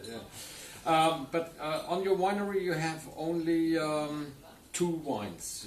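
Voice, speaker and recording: A man's fairly high voice at a very slow pace, with ordinary pitch variation and audible room echo. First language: German. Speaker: wine journalist. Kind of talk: interview. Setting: studio. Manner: halting.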